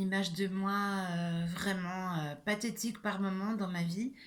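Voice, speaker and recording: A woman with a medium pitch speaks very slowly and somewhat breathily. Her intonation stays fairly even, and room echo can be heard. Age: 60s. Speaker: YouTuber sharing personal experience. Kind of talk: personal vlog monologue. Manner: hesitant, many fillers.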